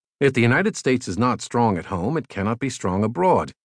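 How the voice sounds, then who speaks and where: A man with an unremarkable speaking voice talks at medium pitch with lively intonation. The recording is dry and close, with no echo. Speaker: audiobook narrator. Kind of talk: audiobook narration of a magazine essay. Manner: steady, measured, formal read-aloud delivery.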